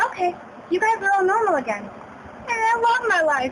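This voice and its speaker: A woman puts on a squeaky character voice at an extremely high pitch, speaking at a moderate pace. Background noise is clearly audible. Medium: read story. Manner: haughty, insulting.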